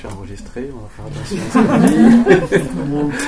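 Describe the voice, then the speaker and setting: A man is heard with audible room echo. Noticeable background noise runs behind him. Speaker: permaculture teacher. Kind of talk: lecture.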